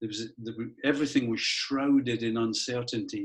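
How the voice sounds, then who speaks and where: In a Scottish accent, a man talks with monotone, flat intonation. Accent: Scottish, still noticeable. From Scotland, Edinburgh. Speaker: school head. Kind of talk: interview. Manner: halting.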